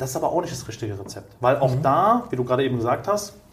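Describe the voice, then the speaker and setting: Lively male intonation set against noticeable background noise. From Germany, Cologne. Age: 30s. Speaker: entrepreneur in staffing industry. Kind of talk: interview.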